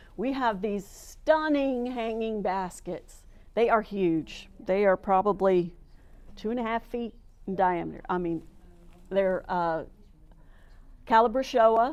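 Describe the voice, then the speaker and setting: Long, frequent pauses mark this woman's very slow delivery in an American accent. Her pitch is fairly high with ordinary variation, set against a quiet background. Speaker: master gardener giving a plant talk. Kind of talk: presentation to a club. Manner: enthusiastic.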